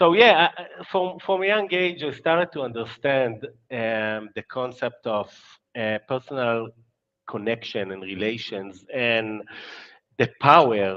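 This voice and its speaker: A man with an Israeli accent speaks at a fairly slow pace and medium pitch with lively intonation. His loudness swings widely. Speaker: marketing agency founder. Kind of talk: interview. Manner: halting.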